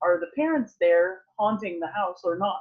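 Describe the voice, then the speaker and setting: A woman is talking. She speaks with a French accent. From French-speaking. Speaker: author. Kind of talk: interview.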